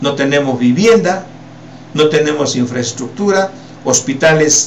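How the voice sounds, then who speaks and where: There is noticeable background noise. Over it, a man with a fairly high pitch speaks with lively intonation. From Peru. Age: 60s. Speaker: political commentator. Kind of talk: political commentary. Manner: animated.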